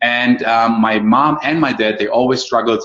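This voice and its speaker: Fairly even intonation runs through the speech of a man with a medium pitch and a German accent. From Germany. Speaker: online marketing coach. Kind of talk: webinar presentation. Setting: live online call. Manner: fast.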